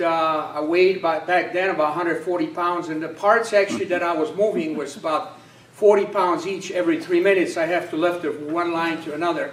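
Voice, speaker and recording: A man talks at a fairly quick pace in a high pitch. Audible room echo and noticeable background noise surround his voice. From Poland. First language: Polish. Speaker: political candidate. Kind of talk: campaign speech. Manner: halting, many fillers.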